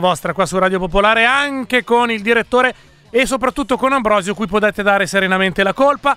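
A high-pitched man's raised, projected voice, bright and sharp in tone, at a very fast pace, dry and close with no echo. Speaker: radio host. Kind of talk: casual live radio chat, election night. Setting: studio. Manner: joking, animated.

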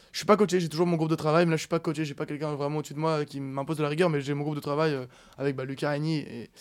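The speaker goes at a very fast pace in a monotone, flat intonation. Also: man. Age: 20s. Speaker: professional poker player. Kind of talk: casual chat.

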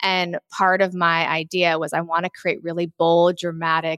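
A woman with a plain, everyday voice speaks at a fairly low pitch and a fairly slow pace. The sound is dry and close with no echo, on a very clean recording with a silent background. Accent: American. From Los Angeles, US. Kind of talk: interview.

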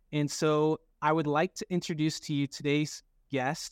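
With a plain, everyday voice, a man speaks at a fairly high pitch and fairly even intonation in a dry, close sound with no echo. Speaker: live show host and negotiator. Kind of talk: live-streamed interview show. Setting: online live room.

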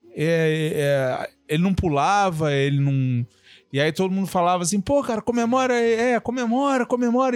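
A man speaks at a moderate pace with very wide pitch swings and very even loudness. The sound is dry and close with no echo, and music plays in the background. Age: 40s. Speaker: journalist and former doctor. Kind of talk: casual chat.

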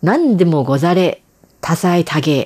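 A woman's medium-pitched voice at a very slow pace, in a dry, close sound with no echo. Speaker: radio host. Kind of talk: radio commentary.

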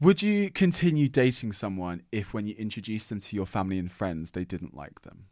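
A man with an unremarkable speaking voice talks fairly quickly at a fairly low pitch, with lively intonation and hardly any pauses. His loudness swings widely, and the recording is very clean with a silent background. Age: 20s. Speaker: podcast host. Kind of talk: casual chat.

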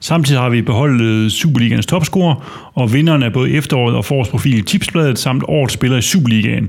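Speaking at a very fast pace, a man with a medium-pitched voice and ordinary pitch variation shows vocal fry. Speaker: fan podcast host. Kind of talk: casual football discussion.

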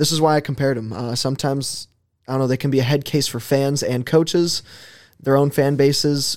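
A man in a plain, everyday voice moves at a fairly quick pace, his pitch fairly high and his intonation fairly even. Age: 20s. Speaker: sports podcast co-host. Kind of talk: casual chat. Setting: studio.

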